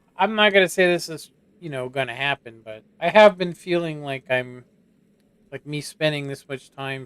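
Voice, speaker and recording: A man's voice, a normal speaking voice, comes at a moderate pace and a fairly high pitch, with ordinary pitch variation. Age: 40s. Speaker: gaming streamer. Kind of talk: casual chat.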